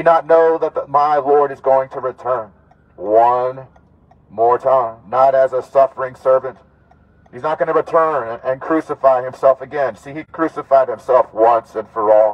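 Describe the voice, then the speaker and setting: A man speaks loudly at a medium pitch. His pace is moderate and his intonation fairly even. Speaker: street preacher. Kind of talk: street preaching through a megaphone. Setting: outdoors, outside a clinic. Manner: loud, forceful, fervent. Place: car.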